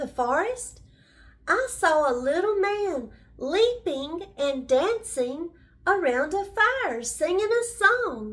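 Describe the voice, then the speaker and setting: A put-on character voice delivers the words at a very slow pace. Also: woman. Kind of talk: bedtime story. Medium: read story. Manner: respectful.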